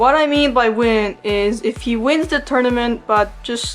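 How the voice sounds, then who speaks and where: A woman mumbles at a fairly slow pace in a fairly high voice, with ordinary pitch variation and music playing in the background. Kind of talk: casual commentary to viewers. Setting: home recording with audio issues. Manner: mumbles a lot.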